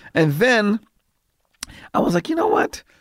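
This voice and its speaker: Here a man is speaking. His pace is very fast. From Los Angeles, US. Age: 50s. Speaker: comedian. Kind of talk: casual chat.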